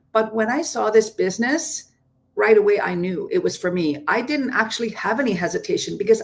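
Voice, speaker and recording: A woman speaks in a plain, everyday voice with a Canadian accent. Her pitch is fairly high and her intonation lively. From Ontario, Canada. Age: 60s. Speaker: entrepreneur. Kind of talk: panel testimony.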